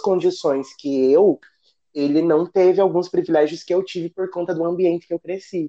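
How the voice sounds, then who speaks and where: Recorded dry and close with no echo, a man with a high pitch and a dark, mellow tone speaks at a moderate pace. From southern Brazil, rural area near Ponta Grossa, Paraná. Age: 30s. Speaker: navy sergeant. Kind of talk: podcast interview.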